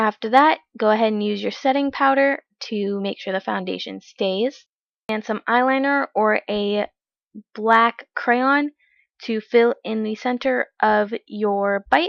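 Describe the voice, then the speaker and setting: A woman's normal speaking voice, fairly high in pitch, at a fairly slow pace. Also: ordinary pitch variation. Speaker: makeup tutorial creator. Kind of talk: tutorial.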